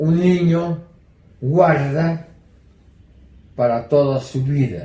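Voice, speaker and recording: A man's voice at a very slow pace, with ordinary pitch variation. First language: German (speaking Spanish). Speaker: Holocaust survivor. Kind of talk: testimony.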